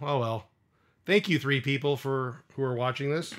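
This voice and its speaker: With a strong Midwestern accent, a man speaks at a moderate pace and medium pitch, showing ordinary pitch variation in a very clean recording with a silent background. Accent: thick Midwestern (self-described). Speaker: streamer building custom controllers. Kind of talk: live stream casual chat. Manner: casual, hesitant with many fillers.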